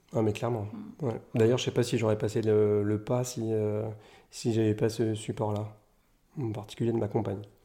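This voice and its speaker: Over a very clean recording with a silent background, a man talks at a fairly quick pace. His tone is dark and mellow, at a medium pitch. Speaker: painter. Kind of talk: interview. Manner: halting.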